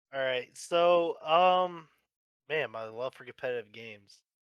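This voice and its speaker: A man with a fairly high pitch on a very clean recording with a silent background. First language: German. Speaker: gaming podcast co-host. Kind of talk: casual chat.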